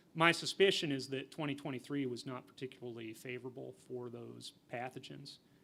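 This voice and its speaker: Mumbling, a man speaks at a moderate pace in a medium pitch. His tone is bright and sharp, with ordinary pitch variation. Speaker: university entomologist. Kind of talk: conference talk Q&A.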